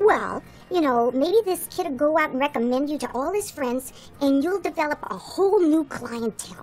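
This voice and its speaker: A woman's put-on character voice, high-pitched and at a moderate pace, with clear background noise. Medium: stage play. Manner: excitable.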